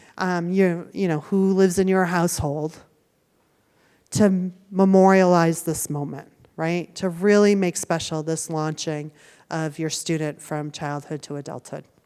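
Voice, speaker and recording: In a very clean recording with a silent background, a woman with an American accent speaks in a fairly low pitch with a dark, mellow tone. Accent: Boston accent, stronger when tired. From Boston, US. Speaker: university student affairs staff speaking to parents. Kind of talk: orientation presentation to parents. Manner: conversational, many 'right?' and 'um'.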